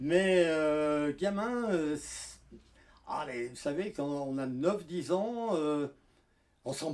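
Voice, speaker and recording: A man speaks very slowly in a fairly high voice with lively intonation. His loudness swings widely. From France, Lyon area (Craponne). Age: 80s+. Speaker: elderly local witness. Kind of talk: oral history testimony. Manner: halting, many hesitations.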